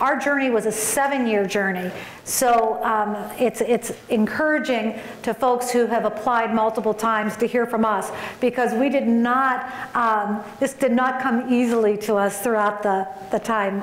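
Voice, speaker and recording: A woman speaks with fairly even intonation and very even loudness. Audible room echo surrounds her voice. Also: moderate pace. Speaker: conference keynote speaker. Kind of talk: keynote speech. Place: hall. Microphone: podium.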